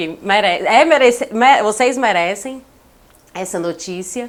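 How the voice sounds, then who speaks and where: Very slowly, a woman speaks, her pitch varying in an ordinary way. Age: 30s. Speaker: podcast guest announcing pregnancy. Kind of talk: casual chat. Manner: emotional.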